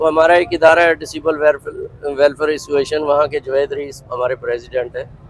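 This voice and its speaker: A man's fairly high-pitched, monotone, flat delivery with hardly any pauses. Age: 60s. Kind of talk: interview testimony.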